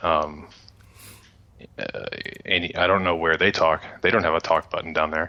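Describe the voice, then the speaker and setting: A man's very deep, low voice at a moderate pace, monotone and flat, with long, frequent pauses. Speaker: tech radio co-host. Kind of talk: casual chat.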